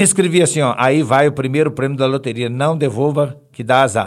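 With a Minas Gerais accent, a man speaks in a fairly high pitch. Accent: Brazilian Portuguese, mineiro. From Brazil, Belo Horizonte (Minas Gerais). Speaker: blind comedian and radio humorist. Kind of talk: casual interview chat.

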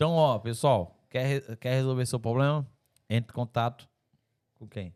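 In a very clean recording with a silent background and a dry, close sound with no echo, a man speaks at a medium pitch and a fairly slow pace, his tone animated, with ordinary pitch variation and big swings in loudness. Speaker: podcast host. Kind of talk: casual chat. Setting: studio.

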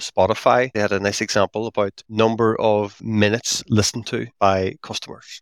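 With a Northern Irish accent, a man speaks at a fairly low pitch. The sound is dry and close with no echo, on a very clean recording with a silent background. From Northern Ireland (Derry). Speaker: software architect and author. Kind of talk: interview conversation.

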